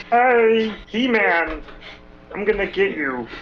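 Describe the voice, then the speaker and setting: A put-on character voice speaks at a very slow pace with fairly high pitch. Clear background noise runs underneath. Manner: menacing.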